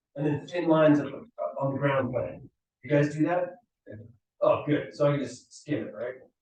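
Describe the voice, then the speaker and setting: The man's voice is fairly high for a man, with ordinary pitch variation. He speaks at a moderate pace, and room echo is audible. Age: 40s. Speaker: design lecturer. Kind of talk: lecture. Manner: animated.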